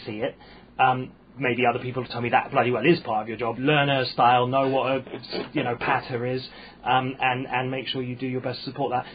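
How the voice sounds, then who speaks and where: At a fairly quick pace, a man speaks in a somewhat breathy voice at medium pitch. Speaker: stand-up comedian. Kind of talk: casual chat. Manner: halting.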